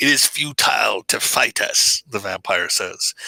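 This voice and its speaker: A put-on character voice from a man, raspy and fairly slow. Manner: menacing.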